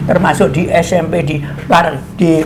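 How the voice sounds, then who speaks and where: A man with a Javanese accent, audible room echo, and noticeable background noise. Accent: Javanese-accented Indonesian. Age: 80s+. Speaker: creator of the regional emblem, interviewee. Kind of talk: interview. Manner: halting.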